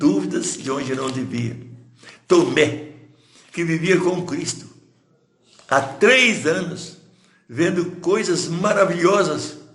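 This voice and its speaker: Speaking at a very slow pace with long, frequent pauses, a man with a high pitch uses lively intonation amid audible room echo. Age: 80s+. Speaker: pastor. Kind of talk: sermon. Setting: livestream.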